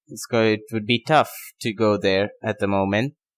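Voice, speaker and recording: A man with a non-native accent, medium pitch and moderate pace, on a very clean recording with a silent background. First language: not English. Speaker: tennis podcaster. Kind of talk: casual unscripted monologue. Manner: halting, many fillers and pauses.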